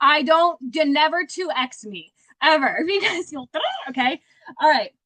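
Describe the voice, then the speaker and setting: A woman speaks in a raised, projected voice with a bright, sharp tone and an animated tone. Her pitch variation is ordinary, and the sound is dry and close with no echo. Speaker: sales director. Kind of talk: motivational talk. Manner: fast.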